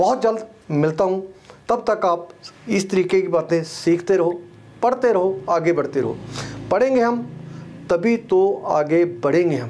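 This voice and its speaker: A man's very slow speech with lively intonation and long, frequent pauses. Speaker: trainer. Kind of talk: lecture. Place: studio. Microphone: lapel.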